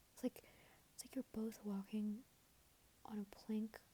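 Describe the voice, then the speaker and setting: A woman is whispering, soft-spoken. Her voice is somewhat breathy. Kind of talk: asmr relationship advice rambling. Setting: headphone microphone, home recording. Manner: soft-spoken, whispery.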